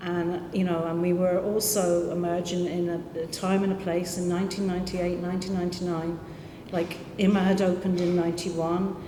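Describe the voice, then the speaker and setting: A woman with a fairly low pitch talks at a moderate pace. Noticeable background noise and audible room echo come through. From London. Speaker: community arts organisation director. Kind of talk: panel discussion. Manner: halting.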